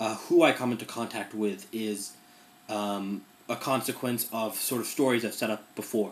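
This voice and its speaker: The voice keeps a fairly even intonation. It is an ordinary speaking voice. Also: man. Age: 20s. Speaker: journalist. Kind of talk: casual talk to a class. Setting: recorded in his room. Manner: casual with many fillers.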